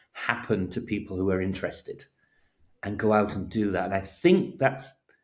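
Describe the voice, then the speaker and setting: A man talks at a fairly quick clip in a dark, mellow tone, on a very clean recording with a silent background. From England (working-class area). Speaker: advertising strategist. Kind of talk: casual interview chat. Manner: halting, repeats words.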